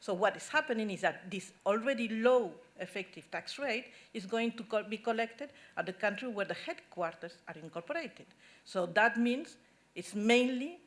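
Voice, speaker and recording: With a Spanish accent, a woman with fairly high pitch speaks at a moderate pace, her intonation lively and her loudness swinging widely. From Spain. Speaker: tax policy expert at an NGO. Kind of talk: conference talk. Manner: halting.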